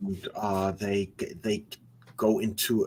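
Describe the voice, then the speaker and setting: Speaking very slowly, a man has a German accent. His pitch is medium. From Germany. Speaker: metal musician. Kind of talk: casual chat. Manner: halting.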